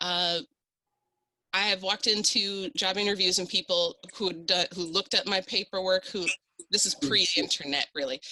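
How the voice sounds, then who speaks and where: In a dry, close sound with no echo, a woman talks in a bright, sharp tone. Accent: Midwestern. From South Dakota, Sioux Falls. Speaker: panelist. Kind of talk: panel discussion. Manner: animated.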